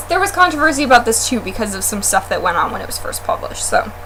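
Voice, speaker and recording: A woman talks at a very fast pace with very wide pitch swings. Noticeable background noise runs behind her. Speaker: book blogger. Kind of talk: casual chat. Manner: loud.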